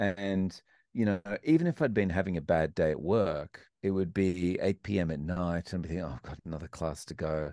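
A man with a very deep, low pitch and an Australian accent, over a quiet background, in a dry, close sound with no echo. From Australia, Melbourne. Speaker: English teacher and YouTube interviewer. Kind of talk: interview conversation. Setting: remote call across time zones.

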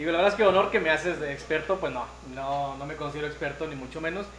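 A man with a fairly high voice keeps his intonation fairly even. Background noise is noticeable, and there is audible room echo. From Nuevo León, Mexico. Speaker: local official and barbecue expert. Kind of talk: casual chat. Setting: live stream.

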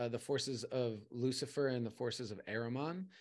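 In an unremarkable speaking voice, a man at medium pitch talks at a fairly slow pace over a quiet background. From California and Arizona, US. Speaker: poet and coach. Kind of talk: casual interview.

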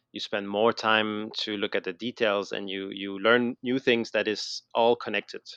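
Against a quiet background, a man with a slight French Canadian accent speaks fairly slowly and fairly low in flat, monotone intonation, the sound dry and close with no echo. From Quebec, Montreal. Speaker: educational concept designer, former teacher. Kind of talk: interview. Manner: halting, many fillers and repetitions.

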